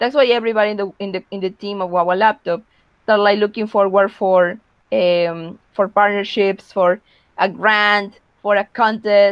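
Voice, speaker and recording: A woman speaks with a Spanish accent at a moderate pace. Her intonation is monotone and flat. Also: medium pitch for a woman. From Peru. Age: young. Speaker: young social entrepreneur. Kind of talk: webinar talk. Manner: halting, frequent repetitions and fillers.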